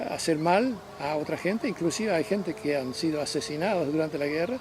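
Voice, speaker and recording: Speaking with a French accent, a man keeps a moderate pace and ordinary pitch variation against noticeable background noise. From Belgium, Ghent. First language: French (speaking Spanish). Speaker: interviewee recounting life story. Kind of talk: interview, life story. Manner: halting, with repetitions.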